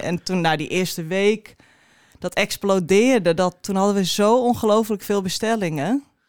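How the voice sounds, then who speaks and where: A woman with an ordinary speaking voice talks at a fairly quick pace and medium pitch with ordinary pitch variation. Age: 30s. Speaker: cheese shop co-owner. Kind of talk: casual interview.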